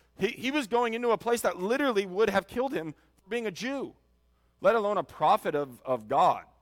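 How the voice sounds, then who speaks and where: A loud, high-pitched man's voice with very wide pitch swings, at a fairly quick pace, in a dry, close sound with no echo. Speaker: pastor. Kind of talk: sermon. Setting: church. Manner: halting.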